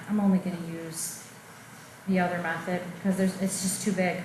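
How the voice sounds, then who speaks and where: A woman's medium-pitched, monotone and flat delivery at a moderate pace, with noticeable background noise and audible room echo. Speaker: math teacher. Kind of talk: lecture.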